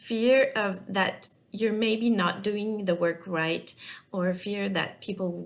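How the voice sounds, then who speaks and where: A woman with a French accent at a very slow pace, her intonation fairly even, over noticeable background noise. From France. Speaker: business and life coach. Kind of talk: talking-head coaching video. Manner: halting, many fillers.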